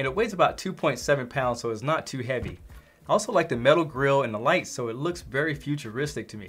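At a fast pace and medium pitch, a man speaks with lively intonation, a fairly bright tone and a slightly husky edge.

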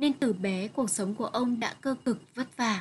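A woman's somewhat breathy, fairly high-pitched voice against a quiet background. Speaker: literature teacher. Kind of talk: lecture.

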